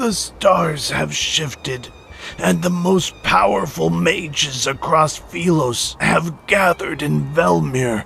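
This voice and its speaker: Over clear background noise, a man puts on a raspy character voice. It sits fairly high and moves at a fairly slow pace. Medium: audio drama. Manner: scornful.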